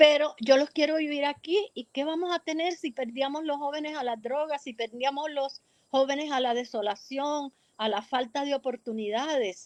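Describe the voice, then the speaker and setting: In a dry, close sound with no echo, a woman speaks at a moderate pace in a high pitch with ordinary pitch variation. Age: 70s. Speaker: community activist and researcher. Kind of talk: radio interview.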